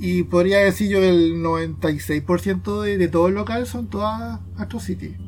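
Very slowly and with hardly any pauses, a man talks in very wide pitch swings. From Chile, Quilpué. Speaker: illustrator and podcast co-host. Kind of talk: casual chat. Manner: halting, with fillers.

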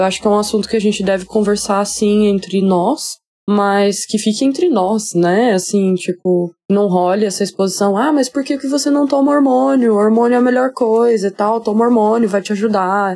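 A woman's dark, mellow voice at medium pitch, with very even loudness, ordinary pitch variation, a moderate pace, and hardly any pauses. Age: 20s. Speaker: listener sending a voice message. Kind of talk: recorded voice message, personal vent.

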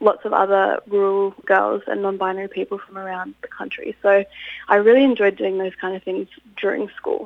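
This woman talks with an Australian accent. Her pitch is medium and her pace moderate. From regional New South Wales, Australia (Inverell). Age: young. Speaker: university student and youth representative. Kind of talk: interview.

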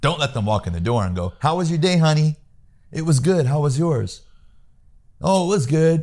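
With an American accent, a man talks at a moderate pace in a dark, mellow, somewhat breathy tone, his pitch fairly high and his intonation lively. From US Midwest, Peoria, Illinois. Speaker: sales trainer. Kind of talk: interview, coaching advice. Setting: home office.

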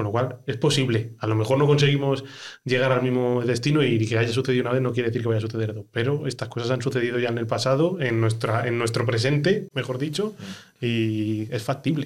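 In an unremarkable speaking voice, the speaker moves at a fairly quick pace with fairly even intonation. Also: man, medium pitch for a man. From Spain, Ávila. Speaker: podcast host. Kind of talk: casual chat.

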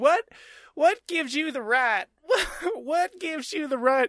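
At a moderate pace, someone speaks in a put-on character voice pitched high.

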